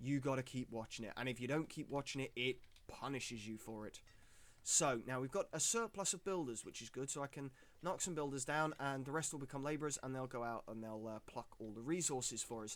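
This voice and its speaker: Talking at a fairly quick pace, a man with a British accent has a medium pitch and ordinary pitch variation. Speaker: gaming streamer. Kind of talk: live gameplay commentary. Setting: live stream. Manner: animated.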